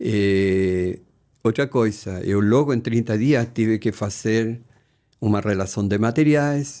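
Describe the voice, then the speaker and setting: Speaking with a Spanish accent, a man uses a dark, mellow tone and ordinary pitch variation on a very clean recording with a silent background. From Chile. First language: Spanish (speaking Portuguese). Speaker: retired engineer, host's father. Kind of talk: casual family interview.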